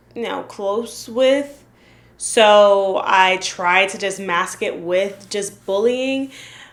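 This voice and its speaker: At a very slow pace, a woman talks at a medium pitch, with ordinary pitch variation. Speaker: lifestyle vlogger. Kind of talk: reaction video commentary. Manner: giggly; some stuttering.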